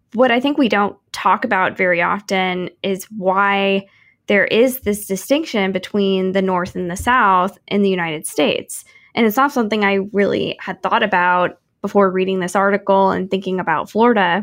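With a Midwestern American accent, a woman speaks at a medium pitch. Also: ordinary pitch variation, moderate pace, very clean recording, silent background. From Kansas City, Missouri. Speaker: podcast host, urban planner. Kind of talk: casual interview.

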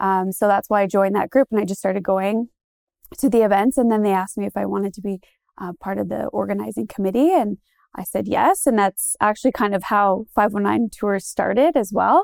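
A woman with an Ontario accent speaks in a medium pitch with ordinary pitch variation, recorded very cleanly over a silent background. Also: dry, close sound with no echo. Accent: Canadian (Ontario). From Goderich, Ontario, Canada. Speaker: local tour business owner and community group organizer. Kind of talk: casual interview.

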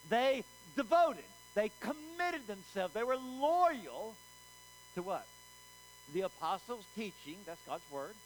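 A man with an American accent and high pitch, very wide pitch swings, a fairly slow pace, and long, frequent pauses over noticeable background noise. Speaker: pastor. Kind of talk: sermon. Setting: church. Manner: animated, call-and-response.

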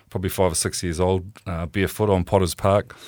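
With a New Zealand accent and a very deep, low pitch, a man talks very fast in fairly even intonation, recorded very cleanly against a silent background. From New Zealand, Auckland. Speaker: rugby administrator, former player. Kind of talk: interview. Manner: halting, many fillers.

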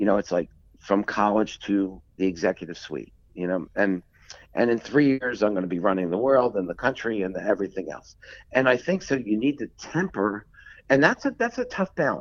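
A man uses an ordinary speaking voice, fairly low in pitch, with lively intonation, an American accent and a moderate pace. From Philadelphia, US. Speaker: textile industry executive. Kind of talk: interview.

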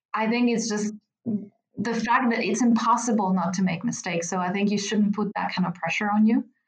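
Somewhat breathy and at medium pitch, a woman speaks at a moderate pace with fairly even intonation. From Italy. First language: Italian. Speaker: pharma marketing director. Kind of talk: interview.

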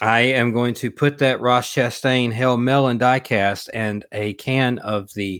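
A mumbling man at a very slow pace, medium in pitch, with fairly even intonation. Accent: Southern US. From US South, Alabama. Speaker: podcast co-host and former race car driver. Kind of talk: casual chat. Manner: mumbly, runs words together.

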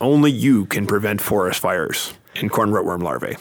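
Using a put-on character voice, a man speaks at a fairly low pitch and a moderate pace. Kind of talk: public service announcement. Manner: earnest, authoritative announcer.

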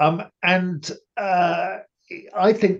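This is a man speaking. He has a British accent. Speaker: podcast host. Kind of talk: casual chat. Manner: measured, with frequent filler pauses.

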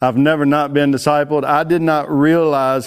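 This man speaks at a fairly slow pace with a Texan accent, his fairly high pitch held in fairly even intonation. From Texas. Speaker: ministry leader. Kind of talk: conference talk. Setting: stage with audience.

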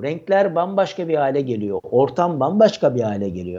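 Very wide pitch swings and vocal fry from a man. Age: 40s. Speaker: HR professional and author. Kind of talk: casual interview. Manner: hesitant, many fillers. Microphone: sounds very good.

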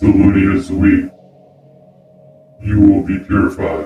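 A man's put-on character voice, fairly low in pitch, at a moderate pace over music in the background. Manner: broken, halting speech; menacing, threatening.

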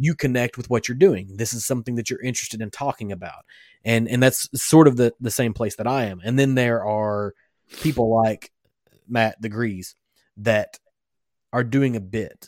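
A man's normal speaking voice at a moderate pace, with ordinary pitch variation and a dry, close sound with no echo. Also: medium pitch for a man, very clean recording, silent background. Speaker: podcast host. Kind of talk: casual chat. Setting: home studio, live streamed.

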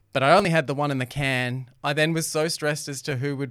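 A fairly quick, fairly even-toned voice with an Australian accent, on a very clean recording with a silent background. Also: man. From Australia, Melbourne (Doncaster, Templestowe). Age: 40s. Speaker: radio personality and former reality TV contestant. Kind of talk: casual chat. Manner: loud.

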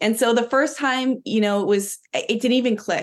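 A woman with a Philadelphia accent against a quiet background. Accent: Philadelphia American. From Philadelphia, US. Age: 20s. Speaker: dog owner sharing a spiritual story. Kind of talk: interview testimony.

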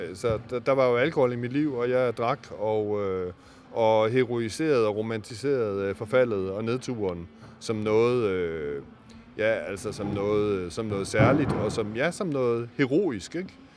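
Noticeable background noise sits behind a man's voice. He speaks fairly slowly at a medium pitch with ordinary variation. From Denmark, Aarhus (East Jutland). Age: 50s. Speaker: novelist. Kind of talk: interview. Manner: halting, many fillers.

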